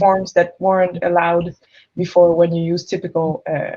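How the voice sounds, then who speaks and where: A woman of medium pitch speaks with a French-Canadian accent. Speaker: entrepreneur, product designer. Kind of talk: panel discussion.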